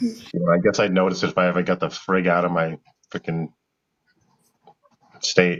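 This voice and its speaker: With a Massachusetts accent, a man speaks in a very deep, low pitch and a monotone, flat intonation at a moderate pace, with long, frequent pauses. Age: 50s. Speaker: live show host. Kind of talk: casual chat.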